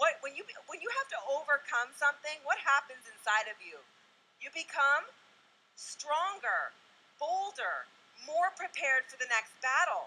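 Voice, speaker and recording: At a moderate pace, a woman uses a raised, projected voice with high pitch, an animated tone, lively intonation, big swings in loudness and long, frequent pauses. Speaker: motivational speaker. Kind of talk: motivational talk. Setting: stage with audience.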